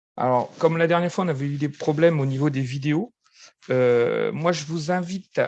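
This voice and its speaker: Behind the voice, the background is quiet. The pitch moves in a fairly even way. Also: man. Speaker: football referee instructor. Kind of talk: online training session. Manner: halting, many fillers.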